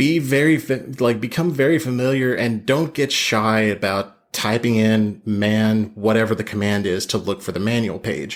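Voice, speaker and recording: On a very clean recording with a silent background, a man at a medium pitch talks with hardly any pauses and ordinary pitch variation. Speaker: infosec detection engineer, guest. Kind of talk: casual podcast interview. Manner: fast.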